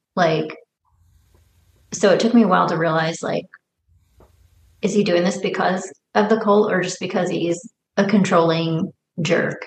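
This woman's speech has vocal fry and fairly even intonation. She leaves long, frequent pauses. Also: medium pitch for a woman, moderate pace. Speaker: podcast co-host discussing a film. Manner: casual, conversational, frequent filler words.

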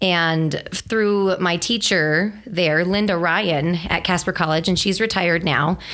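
Speaking at a fairly slow pace with hardly any pauses, a woman has an unremarkable speaking voice that is fairly low in pitch, with fairly even intonation and very even loudness. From moved around US: Texas, Montana, Wyoming. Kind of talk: casual interview.

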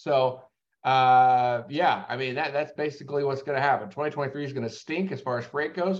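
A man speaks at a moderate pace in a plain, everyday voice, pitched fairly high. His intonation stays fairly even. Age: 30s. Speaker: logistics company owner and podcast host. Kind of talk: solo business commentary podcast. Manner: casual, with filler words and repetitions.

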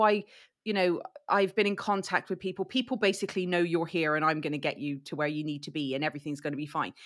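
A woman with an English accent talks at a very fast pace on a very clean recording with a silent background. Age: 40s. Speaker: true crime podcaster. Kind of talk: casual chat. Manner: halting.

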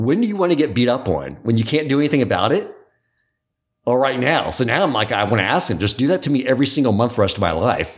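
The voice races at a very fast pace with very wide pitch swings, vocal fry and an energetic tone. Its loudness stays very even. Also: man, medium pitch for a man. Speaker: podcast host. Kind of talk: interview conversation.

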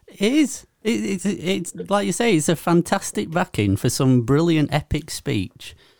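A fairly high male voice with vocal fry and very wide pitch swings, fairly slow yet with hardly any pauses, in a dry, close sound with no echo. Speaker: podcast co-host. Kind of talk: casual chat.

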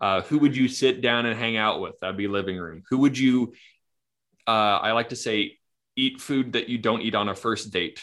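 A man with an ordinary speaking voice speaks at a moderate pace with a medium pitch and ordinary pitch variation. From Kamloops, British Columbia, Canada. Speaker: trauma therapist. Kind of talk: interview, casual conversation.

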